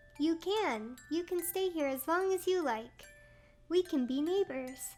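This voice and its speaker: A woman's squeaky, put-on character voice at an extremely high pitch, fairly slow, with faint music in the background. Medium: virtual streamer.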